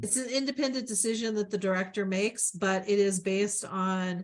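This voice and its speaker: Fairly quick, somewhat breathy speech with ordinary pitch variation. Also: woman. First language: not English. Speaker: city planning staff member. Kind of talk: public meeting explanation. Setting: virtual meeting. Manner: hesitant, many fillers.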